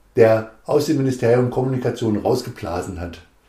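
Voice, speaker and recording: A man's somewhat breathy, dark, mellow voice at medium pitch, with ordinary pitch variation and a moderate pace. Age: 40s. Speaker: politician, district administrator candidate. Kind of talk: casual chat.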